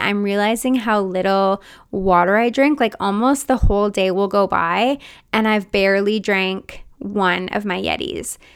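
A woman talks in a plain, everyday voice at a medium pitch. Her pitch varies in an ordinary way. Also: very clean recording, silent background. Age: 30s. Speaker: podcast host and mindset coach. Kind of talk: casual solo monologue. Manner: chatty, frequent 'like' fillers.

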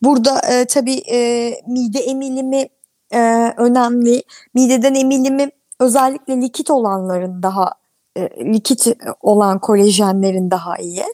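A woman speaks at a fairly slow pace in a high pitch with a dark, mellow tone, recorded with a dry, close sound and no echo. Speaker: dermatologist. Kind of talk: interview. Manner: halting, many fillers.

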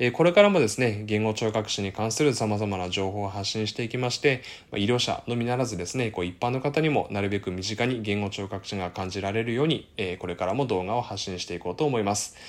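A man with a fairly low pitch speaks at a very fast pace. The recording is very clean, with a silent background. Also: ordinary pitch variation. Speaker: speech-language therapist YouTuber. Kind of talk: educational explainer video. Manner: many filler words, hesitant pauses.

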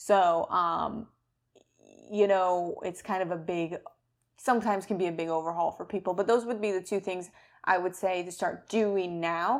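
Recorded very cleanly against a silent background, this is a plain, everyday voice with fairly even intonation at a moderate pace. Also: woman, medium pitch for a woman. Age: 30s. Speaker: health podcast co-host, doctor. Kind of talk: casual chat.

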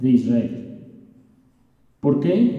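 A man speaks at a very slow pace in a dark, mellow tone, with audible echo from the room. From Mexico City. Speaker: pastor. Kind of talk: sermon.

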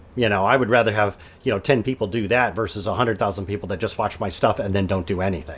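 Somewhat breathy and fairly low-pitched, a man with an American accent speaks very fast with ordinary pitch variation. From Michigan. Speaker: podcast host. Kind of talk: interview.

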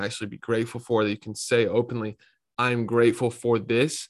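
With an American accent, a man speaks at a medium pitch in a monotone, flat intonation. The recording is very clean, with a silent background. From North Carolina (Raleigh). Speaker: entrepreneur and podcast host. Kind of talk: casual interview chat.

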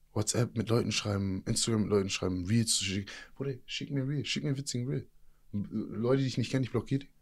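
A man talks at a very fast pace with a medium pitch and ordinary pitch variation. The recording is very clean, with a silent background. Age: 30s. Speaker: fitness and mindset coach, former inmate. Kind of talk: casual interview. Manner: animated.

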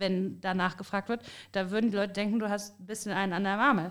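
A woman with an unremarkable speaking voice, medium pitch and ordinary pitch variation, on a very clean recording with a silent background. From Rhineland, Bergisches Land. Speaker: podcast host. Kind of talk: casual chat.

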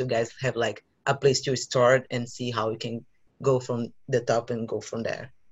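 A somewhat breathy man at a moderate pace, in a monotone, flat intonation. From Brazil. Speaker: podcast co-host. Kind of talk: casual chat.

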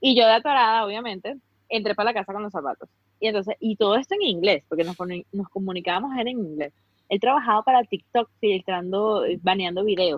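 A woman in a Venezuelan accent, animated in tone, at a fairly quick pace, medium pitch and ordinary pitch variation. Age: 30s. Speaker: fashion influencer. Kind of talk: casual interview chat.

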